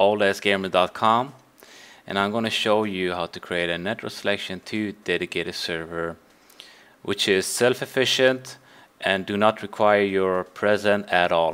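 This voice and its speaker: A man speaks in a non-native accent at a fairly slow pace. His pitch is fairly low and his intonation fairly even. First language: Swedish. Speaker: game server admin. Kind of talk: tutorial. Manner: halting.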